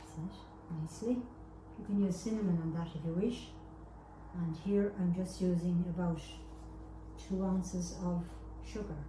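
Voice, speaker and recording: A woman with an Irish accent at a moderate pace, long and frequent pauses, and noticeable background noise. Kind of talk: cooking tutorial talk to camera. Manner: homely, chatty.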